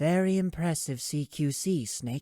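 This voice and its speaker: A man's put-on character voice, fairly high in pitch, with a dry, close sound and no echo. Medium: read story. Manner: calm, composed.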